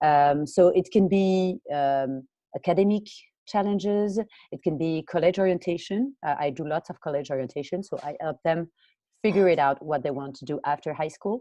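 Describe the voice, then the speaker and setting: In a French accent, a woman talks at a moderate pace with a fairly low pitch, ordinary pitch variation, big swings in loudness and a dark, mellow tone, the sound dry and close with no echo. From France. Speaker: college and career coach. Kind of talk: interview. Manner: hesitant, many fillers.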